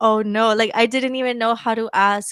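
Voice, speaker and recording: In a very clean recording with a silent background, a woman speaks in a fairly high voice with fairly even intonation. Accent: Spanish. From El Salvador. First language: Spanish. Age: 20s. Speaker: PhD student. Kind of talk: casual interview chat.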